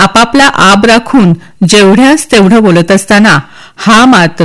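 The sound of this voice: This is an unforced reading voice. It comes through as an unforced reading voice throughout.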